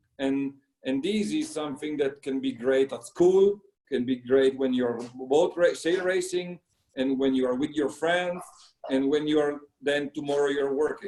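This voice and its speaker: A man's fairly high voice with an Italian accent, ordinary pitch variation and a moderate pace. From Italy. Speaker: sailing coach. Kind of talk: interview. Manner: halting.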